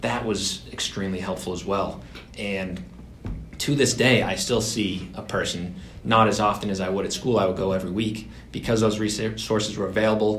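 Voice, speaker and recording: Someone with an American accent talks at a moderate pace with ordinary pitch variation. Light background noise can be heard. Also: man, fairly low pitch for a man. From Massachusetts. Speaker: digital advertising worker; podcast co-host. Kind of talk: casual chat. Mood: earnest, reflective about mental health. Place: meeting room. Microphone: camera far.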